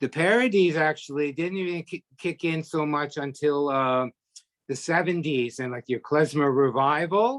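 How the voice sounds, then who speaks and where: At a moderate pace, a man with fairly high pitch and ordinary pitch variation talks, the sound dry and close with no echo. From Toronto, Canada. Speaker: musician. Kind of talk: interview. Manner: halting, many fillers.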